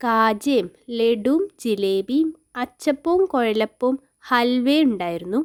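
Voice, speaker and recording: On a very clean recording with a silent background, a woman's high voice swings very widely in pitch, the sound dry and close with no echo. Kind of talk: casual food vlog talk.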